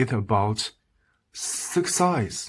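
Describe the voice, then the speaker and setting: A man's medium-pitched voice with a strong Chinese accent. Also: very clean recording, silent background. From China. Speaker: video commentator. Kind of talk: opinion monologue to camera. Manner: halting, broken English; animated.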